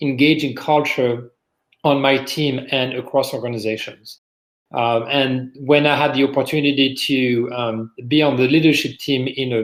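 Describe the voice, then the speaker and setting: A man's medium-pitched voice with a French accent, fairly even intonation and a moderate pace. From France. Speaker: business executive, podcast guest. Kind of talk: interview conversation.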